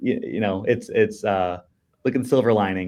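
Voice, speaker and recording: In a very clean recording with a silent background, a man with an American accent speaks at a moderate pace, his medium-pitched voice carrying fairly even intonation. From New Jersey, US. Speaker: marathon runner with type 1 diabetes, advocate. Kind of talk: podcast interview. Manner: hesitant, many fillers and repeated words.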